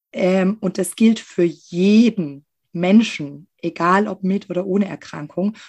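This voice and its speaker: Over a quiet background, a woman speaks very slowly at a medium pitch with ordinary pitch variation. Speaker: occupational therapist. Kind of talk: interview.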